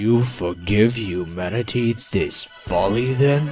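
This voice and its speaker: A cartoonish character voice from a man, medium in pitch, at a fairly slow pace, with clear music in the background. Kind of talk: villain voice acting. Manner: smooth, menacing, persuasive.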